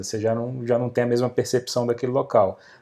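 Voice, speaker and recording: Talking at a very fast pace, a man uses a medium pitch and a dark, mellow tone. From interior of Rio de Janeiro state, Brazil. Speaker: real estate marketing expert and author. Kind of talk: podcast interview.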